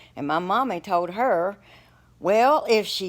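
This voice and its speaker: A woman with an Appalachian accent and very wide pitch swings. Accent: Appalachian Southern US. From Appalachian Virginia, US. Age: 60s. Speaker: storyteller. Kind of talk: personal storytelling. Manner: casual, halting with repeats.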